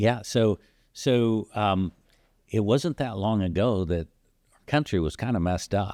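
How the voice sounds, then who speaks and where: A man with an American accent speaks fairly slowly at a fairly low pitch, his tone dark and mellow with ordinary pitch variation and very even loudness, pausing often and at length. The sound is dry and close with no echo, in a very clean recording with a silent background. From Texas, Corpus Christi. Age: 60s. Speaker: podcast host. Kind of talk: casual chat.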